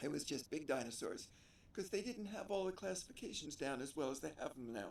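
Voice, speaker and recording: Using very wide pitch swings, a man with an American accent speaks at a fairly quick pace and a fairly high pitch. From New Jersey, US. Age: 80s+. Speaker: interviewee, stranger. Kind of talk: casual interview chat.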